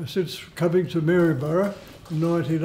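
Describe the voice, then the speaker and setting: Over light background noise, a man with an Australian accent speaks at a high pitch with fairly even intonation. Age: 80s+. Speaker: Salvation Army bandsman. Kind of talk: interview answer. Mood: proud, earnest.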